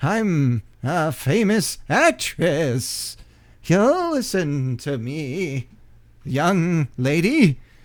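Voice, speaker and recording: On a very clean recording with a silent background, a man uses a put-on character voice, fairly high in pitch, at a very slow pace. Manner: imperious, commanding.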